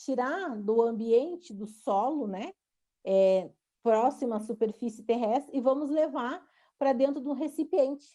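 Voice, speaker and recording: A woman's high-pitched voice with a dark, mellow tone, lively intonation and a Rio Grande do Sul accent. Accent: gaúcho (Rio Grande do Sul). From southern Brazil (Rio Grande do Sul). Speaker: university professor. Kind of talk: online lecture. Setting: online video lecture. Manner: hesitant, many fillers.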